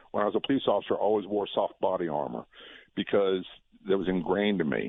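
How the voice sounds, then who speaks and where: The speaker has an American accent and talks at a very fast pace. Pitch varies in an ordinary way. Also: man, fairly low pitch for a man. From Virginia (Norfolk). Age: 60s. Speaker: former police officer. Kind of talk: radio interview.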